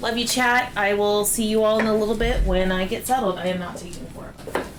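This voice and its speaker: A woman talks at a fairly quick pace with fairly even intonation and big swings in loudness. Audible room echo and noticeable background noise fill the recording. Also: fairly high pitch for a woman. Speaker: parent and partner of the cooking show host. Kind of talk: casual livestream chat.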